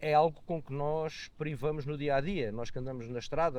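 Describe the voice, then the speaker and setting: The delivery comes at a moderate pace with ordinary pitch variation. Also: man. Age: 60s. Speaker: motorcyclist and economist. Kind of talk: podcast interview. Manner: hesitant, many fillers.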